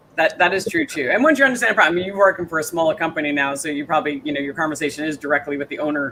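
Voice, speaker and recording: With noticeable background noise behind him, a man talks at a very fast pace, his fairly high pitch carrying lively intonation. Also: hardly any pauses. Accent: American. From New York, Staten Island. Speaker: interview show host. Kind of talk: casual interview chat. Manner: fast, filler-heavy.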